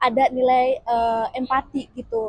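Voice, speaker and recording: This is a woman speaking at a high pitch. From West Sumatra, Padang. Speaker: university student interviewee. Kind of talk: documentary interview. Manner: hesitant, many fillers.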